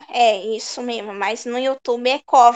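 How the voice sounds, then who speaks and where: Her pitch is high, and this woman speaks at a very slow pace with fairly even intonation. The sound is dry and close, with no echo. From Cubatão, São Paulo state, Brazil. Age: 30s. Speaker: streamer and fighting game player. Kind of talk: casual chat.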